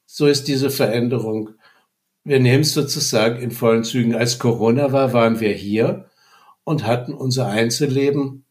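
A man at medium pitch, fairly even intonation, and a moderate pace. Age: 60s. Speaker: retired business economist and communication trainer. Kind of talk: personal testimony. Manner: halting.

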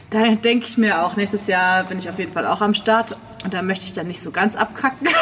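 Noticeable background noise behind a woman's medium-pitched voice, fairly quick in pace and fairly even in intonation. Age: 30s. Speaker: prosthesis wearer, sitting volleyball player. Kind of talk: casual chat.

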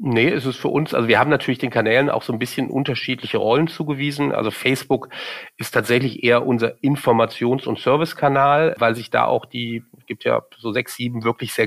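A man's ordinary speaking voice, medium in pitch with ordinary pitch variation, at a fairly quick pace. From Germany, Cologne. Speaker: marketing executive. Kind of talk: interview. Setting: studio.

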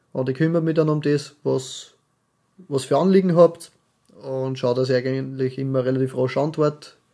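The man's tone is dark and mellow, with a medium pitch. He keeps a moderate pace and fairly even intonation. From Austria. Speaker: podcast co-host, carpenter. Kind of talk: casual chat.

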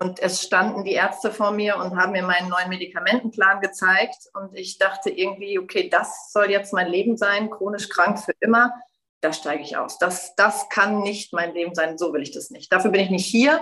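A woman with a plain, everyday voice, medium pitch, moderate pace and fairly even intonation. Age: 40s. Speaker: yoga teacher and widowed mother. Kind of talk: personal testimony in interview.

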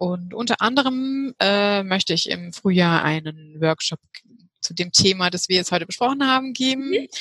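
A woman speaks in an ordinary speaking voice at a medium pitch and a moderate pace. Her intonation is lively, and the sound is dry and close with no echo. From Heidelberg, southwestern Germany. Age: 30s. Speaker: health coach, women's health expert. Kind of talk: interview.

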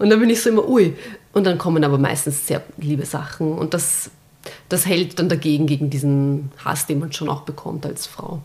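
A woman speaks with a very deep, low pitch. Her tone is dark and mellow and somewhat breathy. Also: ordinary pitch variation, moderate pace. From Austria, Vienna. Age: 30s. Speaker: journalist and former teacher. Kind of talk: casual chat.

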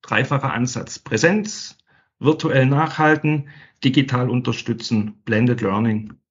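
Somewhat breathy, a man talks at a very slow pace with ordinary pitch variation. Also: medium pitch for a man. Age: 50s. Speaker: sales training manager. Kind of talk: interview.

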